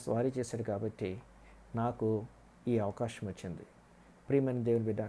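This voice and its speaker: A man speaks with a dark, mellow tone and ordinary pitch variation. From rural Andhra Pradesh, India. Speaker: pastor. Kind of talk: sermon. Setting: online broadcast. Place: home room. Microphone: earbuds.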